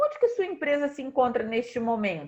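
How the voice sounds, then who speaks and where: A woman speaks with very wide pitch swings. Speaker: leadership strategy consultant. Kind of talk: online business talk. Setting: livestream.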